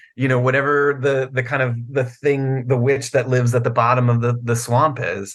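In an American accent, a man speaks at a medium pitch and a moderate pace with monotone, flat intonation. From Virginia, US. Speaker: novelist and comic book writer. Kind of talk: casual interview chat. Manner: halting, many fillers and repeats.

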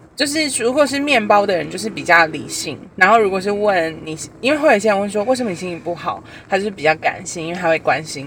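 Noticeable background noise accompanies very fast speech. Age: 30s. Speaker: podcast co-host. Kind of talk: casual chat.

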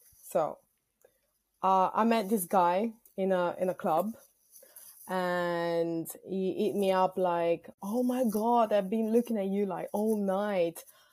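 A woman with a non-native accent speaks at a very slow pace and with fairly even intonation. The recording is very clean, with a silent background. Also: medium pitch for a woman. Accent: foreign. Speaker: caller. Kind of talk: storytelling.

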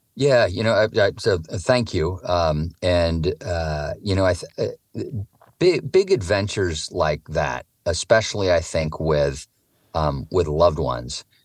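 With a West Coast US accent, a man speaks at a fairly slow pace in a very deep, low pitch, using vocal fry and lively intonation. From Oregon, US. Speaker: author and touring cyclist. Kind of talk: interview storytelling. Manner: halting, many fillers.

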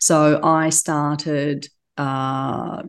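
A woman speaks with an Australian accent at a very deep, low pitch and with fairly even intonation. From Turkey, raised in Australia. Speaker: business executive. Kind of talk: interview.

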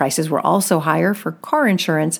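With lively intonation and a moderate pace, a woman speaks in an unremarkable speaking voice on a very clean recording with a silent background. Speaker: news podcast host. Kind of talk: formal newsreading of scripted business headlines. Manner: steady, measured, even-toned delivery; crisp and businesslike, rattling off figures.

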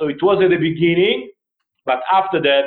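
The speaker is a man. He talks in an Israeli accent. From northern Israel, Akko. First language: Hebrew. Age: 50s. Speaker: retired army general, charity director. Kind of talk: interview.

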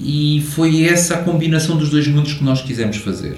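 A man's fairly high-pitched voice, with audible room echo and noticeable background noise. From Portugal. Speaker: hi-fi company co-founder and engineer. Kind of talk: interview.

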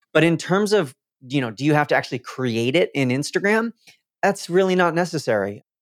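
In a normal speaking voice, a man talks fairly quickly at a fairly high pitch with lively intonation, recorded very cleanly over a silent background with a dry, close sound and no echo. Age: 20s. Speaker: Instagram growth coach. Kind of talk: interview.

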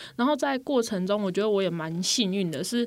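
On a very clean recording with a silent background, a woman uses an unremarkable speaking voice at medium pitch with lively intonation. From Taiwan, Pingtung. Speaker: social worker. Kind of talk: radio interview.

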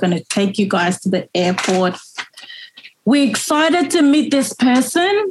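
Her delivery moves at a moderate pace. There is a somewhat breathy quality to this woman's voice. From Liberia. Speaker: former refugee. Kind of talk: interview storytelling.

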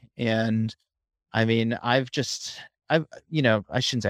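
A man's medium-pitched, ordinary speaking voice at a moderate pace, dry and close with no echo, on a very clean recording with a silent background. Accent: American. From central Massachusetts, near Worcester. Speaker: running coach and podcaster. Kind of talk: casual interview.

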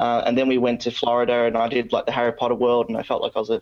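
The speech comes very fast. It is a man with an Australian accent. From Australia, Victoria. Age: 20s. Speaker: podcast host, Freemason. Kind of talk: interview. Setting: remote call.

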